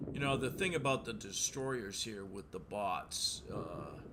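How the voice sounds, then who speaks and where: At a very slow pace, a man talks in a relaxed tone with lively intonation, and audible room echo fills the space. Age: 60s. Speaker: gaming streamer, Navy veteran. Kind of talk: gameplay commentary. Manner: hesitant, many fillers; relaxed, casual.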